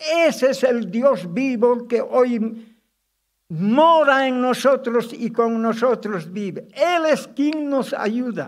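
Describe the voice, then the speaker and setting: A man speaks with an extremely high pitch at a very slow pace. The background is quiet. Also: ordinary pitch variation. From Bolivia, Cochabamba; Bolivia. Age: 90s. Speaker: pastor. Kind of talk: testimony; sermon. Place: church. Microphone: podium.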